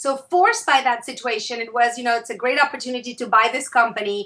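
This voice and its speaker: Through noticeable background noise, a woman with an Argentine accent projects a raised voice at a high pitch. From Argentina, Buenos Aires. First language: Spanish. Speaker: author and consultant. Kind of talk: interview. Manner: hesitant fillers.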